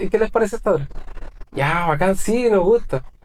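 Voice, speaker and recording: Lively intonation carries a man's speech at a moderate pace. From northern Chile, Calama. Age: 30s. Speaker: musician. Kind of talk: casual chat.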